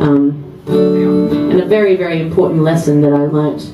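Against loud music in the background, a woman speaks at a fairly slow pace. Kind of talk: stage banter between songs. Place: bar. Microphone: camera far.

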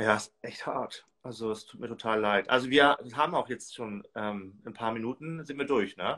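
A man at a moderate pace, bright and sharp in tone, with hardly any pauses, ordinary pitch variation, big swings in loudness and a quiet background. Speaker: reality TV commentator. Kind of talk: casual chat. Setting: video call. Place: home room. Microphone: video call.

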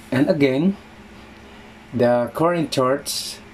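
Light background noise beneath a man's voice of ordinary pitch variation. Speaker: local history vlogger. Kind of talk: casual vlog chat. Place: home room. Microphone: phone near.

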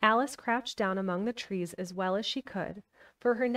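Quiet surroundings, ordinary pitch variation and a natural reading voice.

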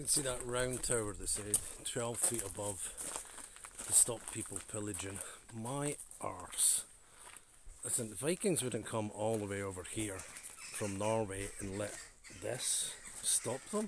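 A man speaks at a fairly slow pace with ordinary pitch variation and long, frequent pauses, in a dry sound with no echo over noticeable background noise. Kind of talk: casual vlog commentary. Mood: opinionated, wry. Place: open country. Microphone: phone near.

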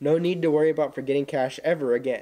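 With a dark, mellow tone, a man talks with ordinary pitch variation. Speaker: student announcer. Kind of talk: school news announcements. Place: classroom.

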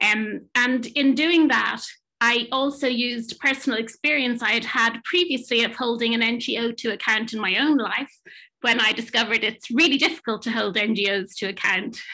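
A woman with an Irish accent speaks at a moderate pace with ordinary pitch variation. Her tone is bright and sharp, and the background is quiet. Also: fairly high pitch for a woman. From Ireland. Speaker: management consultant and psychotherapist; panelist. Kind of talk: talk presentation; panel discussion answer. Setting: online webinar. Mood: earnest, thoughtful. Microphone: webcam.

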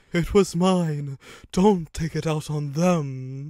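A man's put-on character voice, fairly high in pitch, at a very slow pace on a very clean recording with a silent background.

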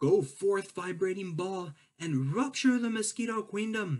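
A man puts on a high-pitched character voice. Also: moderate pace. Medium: read story. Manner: rousing, commanding.

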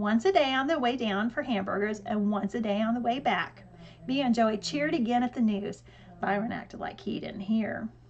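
Here is an unforced reading voice. Its pitch variation is ordinary.

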